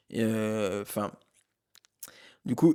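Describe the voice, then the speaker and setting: Speaking at a very slow pace, a man has a dark, mellow tone and ordinary pitch variation. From eastern France, Haute-Marne (Saint-Dizier). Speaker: film podcast co-host. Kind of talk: casual chat. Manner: hesitant, many fillers.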